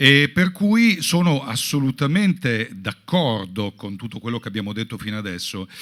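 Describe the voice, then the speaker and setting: Hardly pausing, a man speaks at a moderate pace and medium pitch, with very wide pitch swings and big swings in loudness. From Italy. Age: 50s. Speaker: rock musician. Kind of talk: panel talk. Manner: casual.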